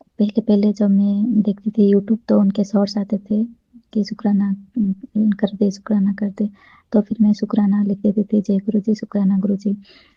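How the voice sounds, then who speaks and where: A woman talks at a medium pitch and a moderate pace. Her voice is somewhat breathy, with monotone, flat intonation. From Odisha, India. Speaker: devotee sharing experience. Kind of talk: testimony.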